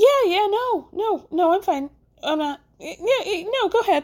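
A put-on character voice, squeaky and extremely high in pitch, speaks at a fairly slow pace. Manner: lying, forced casualness.

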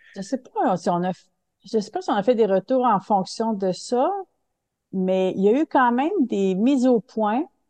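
Recorded dry and close with no echo, a woman speaks at a fairly slow pace with a fairly high pitch. Her tone is dark and mellow, and her intonation lively. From Quebec City (Limoilou), Quebec. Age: 60s. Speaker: theatre director and stage manager. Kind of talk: interview.

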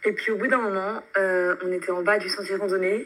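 Here is a woman with a medium pitch and a normal speaking voice. She talks at a moderate pace. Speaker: student. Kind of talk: recorded testimony.

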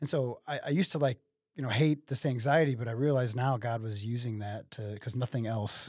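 A man with an American accent speaks at a fairly quick pace and medium pitch, somewhat breathy, with ordinary pitch variation on a very clean recording with a silent background. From Waterloo, Illinois area (US Midwest). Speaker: DJ business owner. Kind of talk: interview conversation.

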